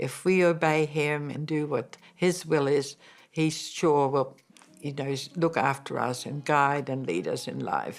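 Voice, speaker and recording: A woman talks with a very deep, low pitch and fairly even intonation. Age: 80s+. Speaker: interviewee. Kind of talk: testimony. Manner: halting.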